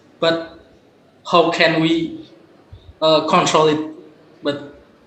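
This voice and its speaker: Audible room echo and noticeable background noise fill the clip. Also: man. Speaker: conference participant asking a question. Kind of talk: Q&A at online academic conference. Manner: halting.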